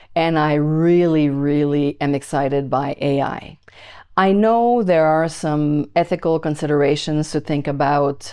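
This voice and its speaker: With a slight Quebec accent, a dark, mellow voice moves at a fairly slow pace with fairly even intonation over a quiet background. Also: woman. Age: 60s. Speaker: YouTuber teaching AI to over-50s. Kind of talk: casual talk to camera.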